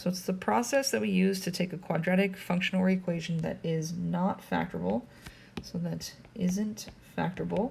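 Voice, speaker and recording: A woman with a fairly low pitch, a somewhat breathy, dark, mellow tone and a fairly quick pace. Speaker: math teacher. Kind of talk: lecture. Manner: fast.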